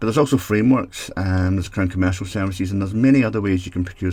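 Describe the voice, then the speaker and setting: On a very clean recording with a silent background, a man with a Scottish accent talks at a very fast pace, his very deep, low pitch showing ordinary variation and his dark, mellow tone somewhat breathy. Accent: Scottish brogue. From Scotland. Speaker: technology consultant for social housing. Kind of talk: solo mini podcast.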